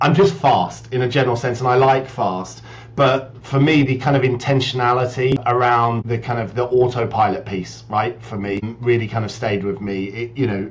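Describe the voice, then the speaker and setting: The speech has hardly any pauses. Its pitch variation is ordinary. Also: man, medium pitch for a man. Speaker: business executive. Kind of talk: podcast interview. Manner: fast.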